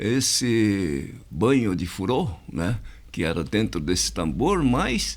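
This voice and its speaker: Very slow speech with vocal fry and very wide pitch swings sounds out with audible room echo. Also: man, very deep, low pitch for a man. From Brazil, interior of São Paulo state. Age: 80s+. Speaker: community association president. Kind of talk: interview. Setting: podcast studio. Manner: hesitant, many fillers.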